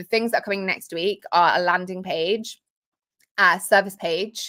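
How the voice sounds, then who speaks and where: With a British accent, a woman of medium pitch speaks at a moderate pace with fairly even intonation and a bright, sharp tone. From Britain. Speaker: marketing coach and software founder. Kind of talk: livestream tutorial. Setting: home office livestream. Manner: informal, many fillers.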